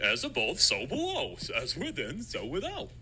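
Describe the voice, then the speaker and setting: Over clear background noise, a put-on character voice moves along at a moderate pace. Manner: theatrical, exaggerated.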